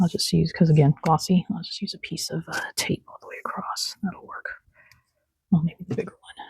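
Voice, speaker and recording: With a relaxed tone, a woman speaks at a moderate pace with big swings in loudness, in a dry, close sound with no echo. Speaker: craft journaling vlogger. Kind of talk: casual craft tutorial vlog. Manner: relaxed, chatty.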